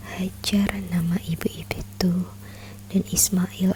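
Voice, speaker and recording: Over noticeable background noise, a soft-spoken woman talks in a calm tone. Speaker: ASMR content creator. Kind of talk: soft-spoken ASMR book reading, religious storytelling. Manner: soft-spoken, calm.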